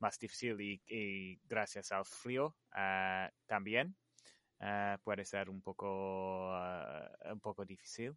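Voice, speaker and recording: With an English accent, a man speaks at a very slow pace in a fairly low pitch and fairly even intonation, heard as a dry, close sound with no echo against a quiet background. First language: English (speaking Spanish). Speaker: light painting artist. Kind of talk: interview. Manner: halting.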